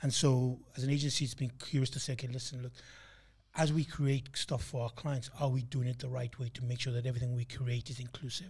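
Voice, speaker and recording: Somewhat breathy and monotone, a man rattles along at a very fast pace with flat intonation. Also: medium pitch for a man. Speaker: podcast co-host. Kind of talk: casual chat.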